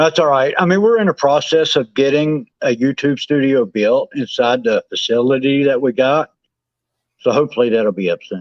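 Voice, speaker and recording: With a Southern accent, a man speaks at a moderate pace, his fairly high pitch carried by lively intonation. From West Virginia mountains. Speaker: guest. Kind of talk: casual chat. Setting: live stream on phone.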